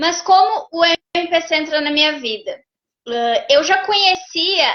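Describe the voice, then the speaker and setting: A southern Brazilian accent with lively intonation. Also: woman. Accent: gaúcho Brazilian Portuguese. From Rio Grande do Sul, Brazil. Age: 40s. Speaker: therapist and behavioral mentor. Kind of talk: interview testimony.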